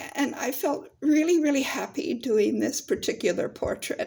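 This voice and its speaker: A woman speaks in a high-pitched voice. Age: 70s. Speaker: portrait painter and poet. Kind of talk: casual video talk showing artwork. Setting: at home, in living room. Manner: halting, with many fillers.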